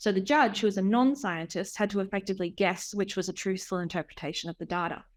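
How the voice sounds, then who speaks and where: A woman with an Australian accent and medium pitch talks at a very fast pace with hardly any pauses and ordinary pitch variation, on a very clean recording with a silent background. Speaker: researcher and artist. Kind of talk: academic talk. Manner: hesitant with fillers.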